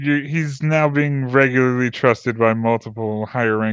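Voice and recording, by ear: Pitch moves in an ordinary way here. The text is read aloud in a natural voice.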